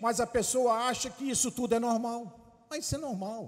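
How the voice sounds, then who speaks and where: A man speaks in an animated tone at a high pitch. The background is quiet. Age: 60s. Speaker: bishop preaching; preacher. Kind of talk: sermon. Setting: church. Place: church. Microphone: handheld.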